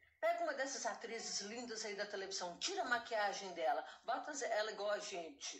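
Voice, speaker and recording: A woman's fairly high-pitched voice with very wide pitch swings, at a moderate pace with hardly any pauses, amid noticeable background noise and audible room echo. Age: 60s. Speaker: retired saleswoman, artisan. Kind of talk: casual chat.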